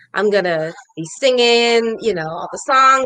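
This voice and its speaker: A woman's plain, everyday voice at a moderate pace, with lively intonation. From South Carolina. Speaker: actress and singer. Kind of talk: interview.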